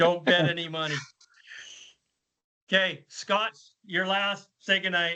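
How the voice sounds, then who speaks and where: Loud and high-pitched, a man speaks with fairly even intonation and long, frequent pauses. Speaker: podcast host. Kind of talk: casual panel chat. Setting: video call.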